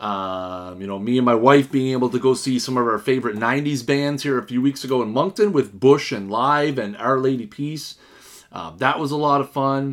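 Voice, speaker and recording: A man with a Canadian accent talks at a moderate pace. His medium pitch shows ordinary pitch variation. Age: 30s. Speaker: podcast host. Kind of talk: solo podcast monologue.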